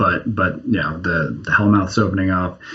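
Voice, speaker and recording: A man with an American accent talks at a moderate pace in a fairly low voice, with noticeable background noise behind him. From New Jersey. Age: 30s. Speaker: comic book writer. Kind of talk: interview.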